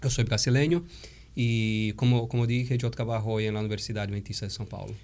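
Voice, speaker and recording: Fairly quick delivery with a Brazilian accent. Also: man, medium pitch for a man. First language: Portuguese (speaking Spanish). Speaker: theology professor and pastor. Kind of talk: interview. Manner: halting, with fillers.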